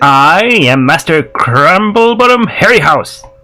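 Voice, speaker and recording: A man's put-on character voice, high for a man, at a fairly slow pace. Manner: pompous, self-important.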